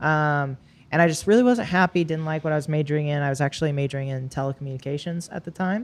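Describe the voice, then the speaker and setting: A woman with an American accent talks at a very fast pace in a very deep, low pitch. Her pitch varies in an ordinary way. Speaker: bodybuilder. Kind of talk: casual chat. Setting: apartment gym.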